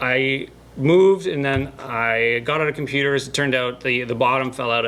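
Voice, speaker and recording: Noticeable noise fills the background. Over it, a man talks. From Canada (Northern Ontario). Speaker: YouTube builder. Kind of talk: casual chat.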